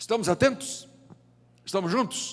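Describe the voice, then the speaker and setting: A man speaks at a moderate pace. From Brazil, Northeast (João Pessoa, Paraíba). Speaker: pastor. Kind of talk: sermon. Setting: church.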